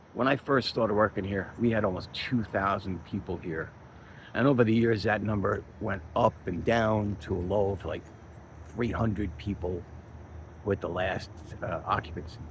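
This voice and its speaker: A somewhat breathy man speaks at a moderate pace, his fairly low pitch showing ordinary variation. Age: 60s. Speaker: chief engineer and channel owner. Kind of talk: casual first-person video monologue.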